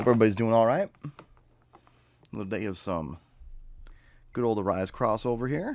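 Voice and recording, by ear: Putting on a raspy character voice, a man talks at a fairly quick pace and medium pitch.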